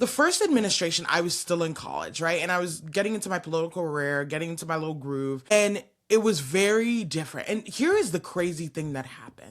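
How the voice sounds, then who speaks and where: Animated in tone, a woman with an American accent and a fairly low pitch speaks at a very fast pace with hardly any pauses. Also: lively intonation. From UK, born in Nigeria. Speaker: talk show host. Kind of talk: casual interview chat.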